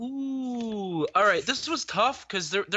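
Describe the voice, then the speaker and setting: A man's delivery runs at a fairly unhurried pace. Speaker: sports radio co-host. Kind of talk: casual sports commentary chat.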